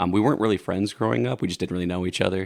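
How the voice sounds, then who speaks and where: With an American accent, a man speaks in a very deep, low voice on a very clean recording with a silent background. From Minnesota, St. Cloud. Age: 20s. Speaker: singer-songwriter. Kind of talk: podcast interview.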